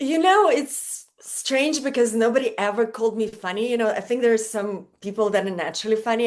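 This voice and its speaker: A woman with a Russian accent, fairly high pitch and ordinary pitch variation, at a fairly quick pace with hardly any pauses. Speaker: model and stand-up comedian. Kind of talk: casual chat.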